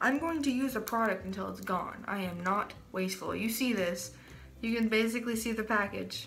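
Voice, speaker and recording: With audible room echo, a woman speaks fairly fast at a fairly high pitch, her pitch varying in an ordinary way. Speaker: beauty vlogger. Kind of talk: makeup tutorial. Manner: casual, halting.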